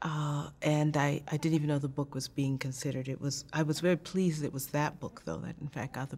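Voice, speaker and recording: At a fairly quick pace, a woman talks with a very deep, low pitch and monotone, flat intonation. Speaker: interviewee. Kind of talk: interview answer. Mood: warm, reminiscing. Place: studio.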